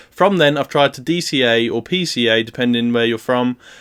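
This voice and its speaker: With a British accent, a man speaks at a medium pitch with ordinary pitch variation. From UK. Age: 20s. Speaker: student investing vlogger. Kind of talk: casual video vlog explaining portfolio.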